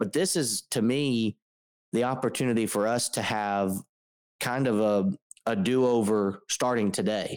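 A plain, everyday voice moves at a fairly slow pace with ordinary pitch variation and very even loudness. The sound is dry and close with no echo, in a very clean recording with a silent background. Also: man, medium pitch for a man. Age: 20s. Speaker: podcast co-host, church network. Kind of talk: casual chat.

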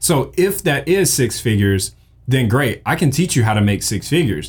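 With an American accent and vocal fry, a man talks in an animated tone at a fairly quick pace. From US South, Mississippi. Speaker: podcast host, graphic designer. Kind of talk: casual tutorial monologue.

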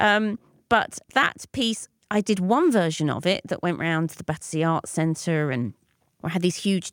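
A woman speaks at a fairly low pitch with a London accent. The sound is dry and close with no echo, in a very clean recording with a silent background. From North London. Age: 40s. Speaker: performance artist and lecturer. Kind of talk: interview conversation. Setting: pop-up studio.

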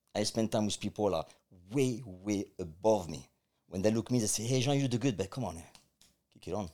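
With a French accent, a man speaks at a fairly quick pace in a dark, mellow tone of fairly low pitch, ordinary pitch variation, and long, frequent pauses. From France. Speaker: martial arts coach and life coach. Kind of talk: interview conversation.

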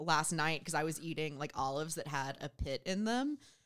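A woman's fairly low-pitched, ordinary speaking voice with an American accent, at a fairly quick pace, on a very clean recording with a silent background. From US South, southwest Georgia. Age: 20s. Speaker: guest co-host. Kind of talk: casual chat. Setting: studio.

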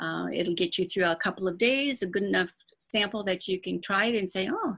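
A woman's normal speaking voice with an American accent, medium pitch and a fairly quick pace. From Michigan, Dearborn Heights near Detroit. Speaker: essential oils seller, retired dental worker. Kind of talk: interview.

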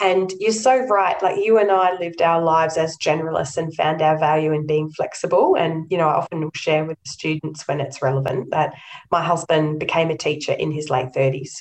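Speaking at a fairly quick pace with hardly any pauses, a woman uses a very deep, low pitch and ordinary pitch variation over noticeable background noise. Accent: Australian. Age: 40s. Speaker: nonprofit chief executive. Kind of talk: interview.

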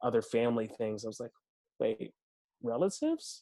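Against a quiet background, a man with an American accent speaks at a medium pitch. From Washington, D.C. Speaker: actor and storyteller. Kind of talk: casual chat.

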